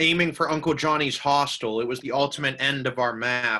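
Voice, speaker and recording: A man's fairly high voice with a bright, sharp tone. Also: very clean recording, silent background. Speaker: poet. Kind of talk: poetry reading.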